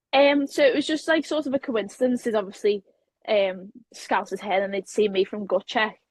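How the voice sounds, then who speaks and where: A woman in a Liverpool accent, somewhat breathy, with lively intonation at a moderate pace. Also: fairly high pitch for a woman. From Liverpool, England. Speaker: professional wrestler. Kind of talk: interview. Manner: casual, hesitant with many fillers.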